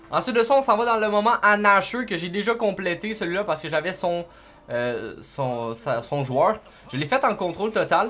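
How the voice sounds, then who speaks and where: A high-pitched man's raised, projected voice in a Quebec accent, with very wide pitch swings. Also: moderate pace. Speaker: gaming YouTuber; gaming tutorial creator. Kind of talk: gameplay tutorial; tutorial. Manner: casual, hesitant with fillers. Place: home room.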